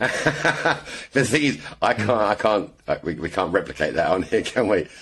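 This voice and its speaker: In an English accent, a man speaks fairly slowly with lively intonation. His pitch is fairly low. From England. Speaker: airgun shooter. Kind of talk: casual chat.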